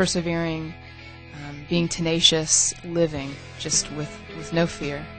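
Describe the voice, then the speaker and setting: A woman's very deep, low pitch in monotone, flat intonation at a fairly slow pace, with long, frequent pauses, big swings in loudness and music in the background. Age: young. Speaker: yoga instructor. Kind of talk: interview answer. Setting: studio.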